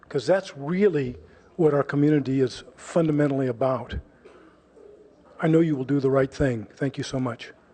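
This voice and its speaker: With an American accent, a man talks at a moderate pace in a fairly high pitch with ordinary pitch variation, his tone dark and mellow and broken by long, frequent pauses. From California, Palo Alto area. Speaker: public commenter. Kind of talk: public comment speech.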